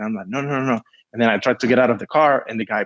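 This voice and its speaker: Over a quiet background, a man with a Spanish accent is heard in a dry, close sound with no echo. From Cuba. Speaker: film producer. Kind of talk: casual interview storytelling. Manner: animated.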